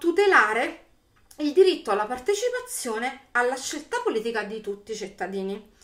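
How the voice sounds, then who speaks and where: A woman speaks at a moderate pace with a high pitch and very wide pitch swings. The background is quiet. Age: 40s. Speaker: YouTuber; political commentator vlogger. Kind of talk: video commentary monologue. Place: home room. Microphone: webcam.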